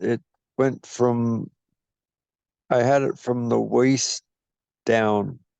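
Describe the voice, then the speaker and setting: In an American accent, the speaker keeps fairly even intonation and very even loudness with long, frequent pauses, recorded with a dry, close sound with no echo against a quiet background. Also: man. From Iowa. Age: 60s. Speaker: chronic pain patient, veteran. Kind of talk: interview testimony. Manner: halting, repetitive stammering.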